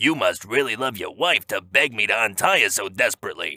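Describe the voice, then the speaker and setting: A man's put-on, growling character voice in a medium pitch, with lively intonation at a fairly quick pace. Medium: read story.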